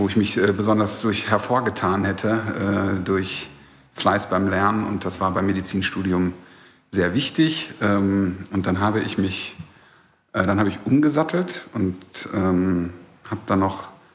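Speaking at a fairly slow pace with long, frequent pauses, a man uses a fairly low pitch. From Ruhr area, Germany (Recklinghausen). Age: 40s. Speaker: music record label manager. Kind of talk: casual interview. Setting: recorded in a bar.

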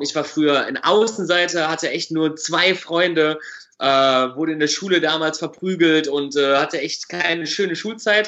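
At a moderate pace, a man with a plain, everyday voice talks in a fairly high pitch with ordinary pitch variation. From Germany, Düsseldorf. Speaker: magician. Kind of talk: casual interview.

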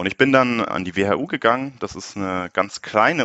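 A man speaks with lively intonation and fairly low pitch in a normal speaking voice. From Munich, Bavaria. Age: 20s. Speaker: startup founder. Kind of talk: interview.

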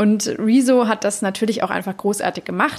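Against noticeable background noise, a woman speaks at a moderate pace with a fairly high pitch. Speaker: podcast host. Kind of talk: casual interview.

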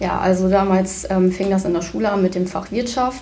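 Her medium-pitched voice moves at a fairly quick pace as the woman is heard with audible room echo and noticeable background noise. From Leer, East Frisia, northern Germany. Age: 19. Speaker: bank trainee. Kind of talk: self-introduction and interview.

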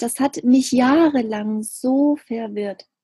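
A woman's high-pitched voice with a dark, mellow tone and ordinary pitch variation. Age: 30s. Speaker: spiritual medium and coach. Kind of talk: interview about spirituality.

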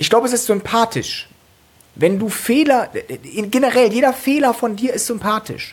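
Noticeable background noise behind a woman's fairly high voice, moderate in pace, with ordinary pitch variation and long, frequent pauses. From Cologne, Germany. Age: 20s. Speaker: stand-up comedian. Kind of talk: casual chat. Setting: at home.

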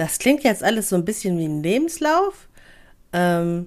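Very wide pitch swings from a woman at a fairly slow pace, in a very clean recording with a silent background. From Hamburg, northern Germany. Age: 20s. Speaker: podcaster, office clerk. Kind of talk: casual monologue.

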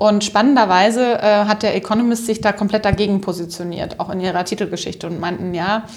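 At a moderate pace, a woman speaks at a medium pitch in a normal speaking voice. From Upper Franconia, northern Bavaria. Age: 30s. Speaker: social entrepreneur, company co-founder. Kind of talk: interview.

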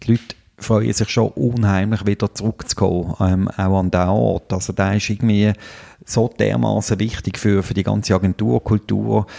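Dark and mellow in tone, a man's fairly low voice holds a very even loudness. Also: ordinary pitch variation, moderate pace, dry, close sound with no echo. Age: 40s. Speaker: podcast host, agency owner. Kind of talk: casual chat. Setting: agency library.

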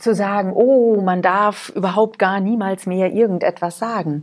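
Speech from this woman comes very slowly. She talks at a medium pitch. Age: 40s. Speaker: podcast host. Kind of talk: motivational monologue. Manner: animated.

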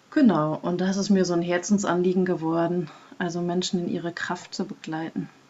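A woman's fairly low voice at a moderate pace, monotone and flat in intonation, over noticeable background noise. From Germany, Münsterland. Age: 40s. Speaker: process facilitator and vision quest guide. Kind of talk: casual interview.

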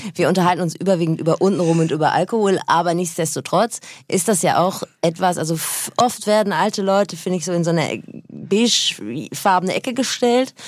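A woman speaks at a fairly quick pace in a plain, everyday voice, her pitch fairly low and her pitch variation ordinary. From North Rhine-Westphalia. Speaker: radio presenter and podcaster. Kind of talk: casual chat. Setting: studio.

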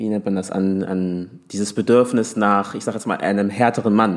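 A man talks in a normal speaking voice, fairly low with ordinary pitch variation, on a very clean recording with a silent background. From Hamburg, Germany. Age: 20s. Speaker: teacher and social media creator. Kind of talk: casual chat.

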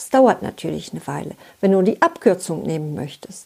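Her words come at a moderate pace. The speaker is female. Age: 60s. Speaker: relationship coach. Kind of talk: scripted talk to listener.

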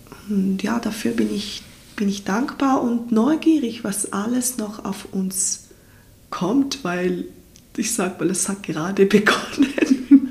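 A woman's fairly high voice at a very slow pace, with ordinary pitch variation and noticeable background noise. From Ticino, southern Switzerland. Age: 30s. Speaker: farmer and doula. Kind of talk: interview. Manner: hesitant, repeats words.

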